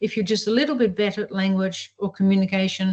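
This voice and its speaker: A woman speaks at medium pitch and a fairly quick pace with fairly even intonation. Her voice is somewhat breathy, and the background is quiet. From Europe. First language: not English. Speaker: professor of evolutionary biology. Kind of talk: interview. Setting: video call.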